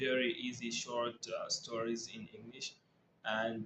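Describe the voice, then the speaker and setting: A man is speaking. His pitch is medium. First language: Arabic. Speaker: English learner vlogger. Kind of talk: casual talk to camera. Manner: halting, with frequent repetitions and fillers.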